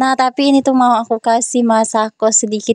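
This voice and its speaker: A woman talks at a very fast pace with fairly even intonation, and the sound is dry and close with no echo. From South Sumatra, Ogan Ilir. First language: regional language of South Sumatra (speaking Indonesian). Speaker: vlogger and housewife. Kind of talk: voice-over narration of a daily vlog. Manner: casual and chatty.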